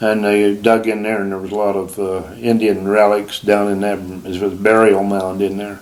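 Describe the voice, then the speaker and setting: With an American accent, the speaker keeps a moderate pace and a monotone, flat intonation. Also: man, fairly low pitch for a man. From Utah (Provo). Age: 80s+. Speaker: retired hunter and fisherman. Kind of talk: casual chat.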